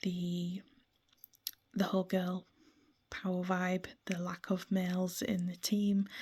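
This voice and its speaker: The voice has a dark, mellow tone, somewhat breathy, with monotone, flat intonation at a fairly slow pace. Long, frequent pauses break it up, on a very clean recording with a silent background. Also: woman. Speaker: gaming vlogger. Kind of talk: casual monologue about a video game. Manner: frequent ums and hesitations.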